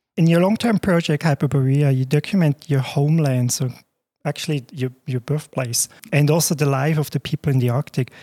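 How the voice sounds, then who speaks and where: Speaking at a fairly quick pace in a Swiss German accent, a man has a dark, mellow, somewhat breathy tone, a fairly high pitch and ordinary pitch variation, heard in a dry, close sound with no echo on a very clean recording with a silent background. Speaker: podcast host. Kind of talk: interview.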